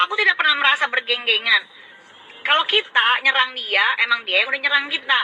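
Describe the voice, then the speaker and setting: Speaking at a fairly quick pace, a woman uses lively intonation and a high pitch. There is noticeable background noise. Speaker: live streamer. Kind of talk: casual live stream rant. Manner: sounds aggressive, like revving up.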